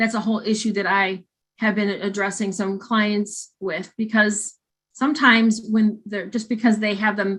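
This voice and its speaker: Against a quiet background, a woman with a northern US accent speaks at medium pitch and a moderate pace in a flat monotone. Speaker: clinical counselor and trainer. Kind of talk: training lecture. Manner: halting, many fillers and restarts.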